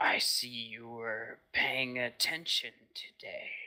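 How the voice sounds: Putting on a character voice, a man speaks very slowly in a gravelly, medium-pitched voice.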